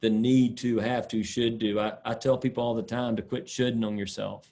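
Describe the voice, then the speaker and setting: This man speaks with a Southern accent. His pitch sits in the medium range. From US South, South Carolina (Sumter). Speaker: sport psychologist. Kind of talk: lecture.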